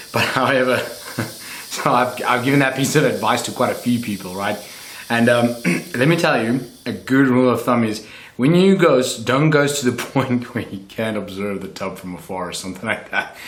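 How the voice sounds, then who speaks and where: Amid noticeable background noise and audible room echo, a man with a medium pitch speaks at a moderate pace with ordinary pitch variation. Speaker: reptile keeper YouTuber. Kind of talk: tutorial. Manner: casual.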